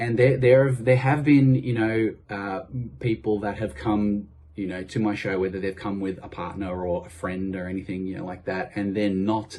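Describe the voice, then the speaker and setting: Here a man speaks with an Australian accent in a fairly low voice. He keeps a moderate pace with ordinary pitch variation. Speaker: tribute artist. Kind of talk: interview. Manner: hesitant, many fillers.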